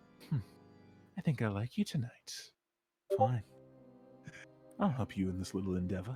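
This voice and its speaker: A man's put-on character voice at medium pitch, cackling, with lively intonation, a moderate pace, long and frequent pauses, and faint music in the background. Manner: cackling, amused, cunning.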